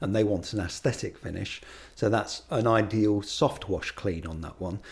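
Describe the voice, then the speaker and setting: Here a man talks at a moderate pace in a somewhat breathy voice. His pitch is fairly low, with ordinary variation. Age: 60s. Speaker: exterior cleaning business owner. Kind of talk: podcast interview.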